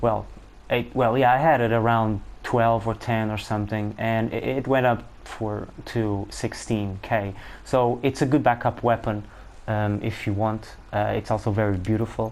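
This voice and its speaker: A man talks at a moderate pace in a monotone, flat intonation with a non-native accent. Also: medium pitch for a man. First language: not English. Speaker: gaming YouTuber. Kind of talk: gameplay tutorial. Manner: halting, many fillers.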